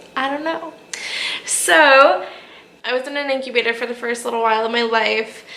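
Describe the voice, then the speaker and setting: Amid noticeable background noise and audible room echo, a woman talks at a moderate pace with ordinary pitch variation. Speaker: vlogger sharing personal health story. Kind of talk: personal vlog. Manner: casual, repetitive with fillers.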